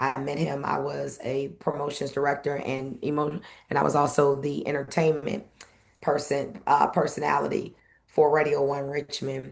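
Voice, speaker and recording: A woman speaks with a very deep, low pitch and vocal fry. Her pace is moderate and her intonation monotone and flat. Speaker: event host and former radio personality. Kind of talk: interview conversation.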